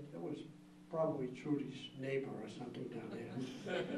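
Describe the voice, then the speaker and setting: Audible room echo and noticeable background noise surround a man's moderately paced speech. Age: 80s+. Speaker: former environmental group director. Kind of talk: speech at annual meeting. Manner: halting.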